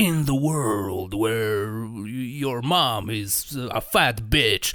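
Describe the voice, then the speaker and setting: A man uses a put-on character voice at medium pitch, speaking at a very slow pace. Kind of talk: dramatic, announcer-like.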